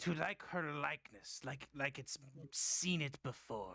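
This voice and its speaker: A man puts on a raspy character voice with a fairly high pitch, speaking at a fairly slow pace. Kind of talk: old-fashioned formal speech. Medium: actual play. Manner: formal, halting and stammering.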